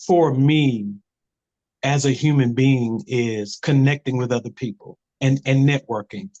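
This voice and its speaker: In an ordinary speaking voice, a man talks at a fairly slow pace, with a dry, close sound with no echo. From Camden, South Carolina. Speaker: actor. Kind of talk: interview answer.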